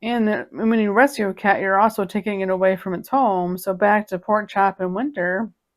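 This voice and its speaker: A woman's normal speaking voice at a moderate pace, on a very clean recording with a silent background. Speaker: cat video creator. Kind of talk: casual chat.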